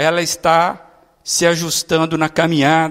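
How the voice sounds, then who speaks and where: Raised and projected, the man's voice has a bright, sharp tone. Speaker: pastor. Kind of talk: sermon. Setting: church.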